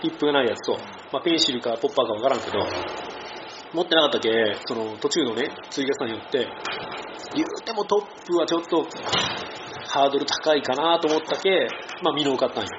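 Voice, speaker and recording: A man speaks at a very fast pace with lively intonation and a fairly high pitch, broken by long, frequent pauses. Noticeable background noise sits behind him. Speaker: outdoor podcast host. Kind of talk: casual chat. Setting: cafe.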